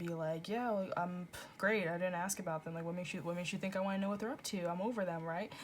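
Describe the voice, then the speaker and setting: Talking at a very fast pace, a woman holds a medium pitch. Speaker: tarot reader. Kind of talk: tarot reading monologue. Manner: halting, stuttering; casual, filler-heavy.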